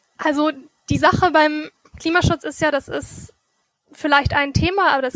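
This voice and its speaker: A woman's bright, sharp tone with fairly even intonation. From Germany, Meerbusch near Düsseldorf. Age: 20s. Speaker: student and mayoral candidate. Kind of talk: interview. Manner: halting.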